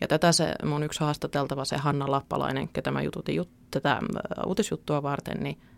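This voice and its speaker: In a dry, close sound with no echo, a woman speaks at a fairly quick pace. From Central Finland (Keuruu). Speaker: newspaper journalist. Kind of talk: podcast interview.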